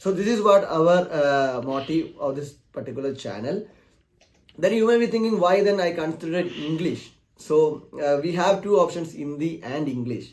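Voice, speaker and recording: Lively intonation marks this man's high-pitched voice as he talks at a moderate pace. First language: Malayalam. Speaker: technical YouTuber. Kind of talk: channel announcement talk. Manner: halting, many fillers.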